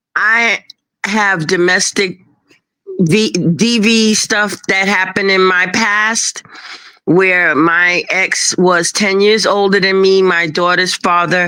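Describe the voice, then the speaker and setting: A woman with a New York accent, very slow, bright and sharp in tone, her loudness very even. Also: medium pitch for a woman. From Brooklyn, New York. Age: 60s. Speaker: guest on a livestream talk show. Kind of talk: casual chat. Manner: animated.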